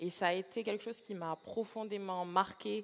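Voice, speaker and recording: This woman's voice sits at a medium pitch, and her intonation stays fairly even. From Martinique. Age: 20s. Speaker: aspiring missionary. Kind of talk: interview testimony. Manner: halting with many hesitations.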